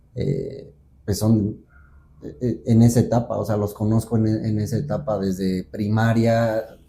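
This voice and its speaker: A man's somewhat breathy, medium-pitched voice with a dark, mellow tone, fairly slow pace and fairly even intonation. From central Mexico (Guanajuato). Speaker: folk dancer. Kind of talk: interview conversation.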